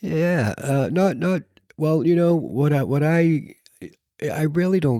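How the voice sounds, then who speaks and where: A man's mumbling at a very slow pace, dark and mellow in tone. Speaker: podcast co-host. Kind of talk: casual chat. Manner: halting, repeats words.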